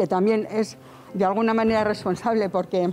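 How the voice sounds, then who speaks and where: Over light background noise, a woman speaks with fairly even intonation at a moderate pace. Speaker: relative of evicted neighbor. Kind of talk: interview answer. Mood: indignant, complaining of injustice. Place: street.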